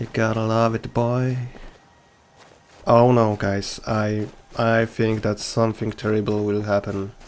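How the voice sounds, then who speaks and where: With a non-native accent, a man speaks at a medium pitch and fairly slow pace in a monotone, flat intonation, leaving long, frequent pauses. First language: not English. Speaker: gaming video creator. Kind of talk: gameplay commentary. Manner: casual, with hesitations.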